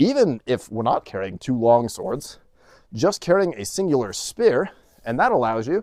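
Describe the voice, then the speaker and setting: On a very clean recording with a silent background and dry, close sound with no echo, a man speaks at a medium pitch with very wide pitch swings. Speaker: sword and historical fencing video host. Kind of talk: casual video commentary. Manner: fast.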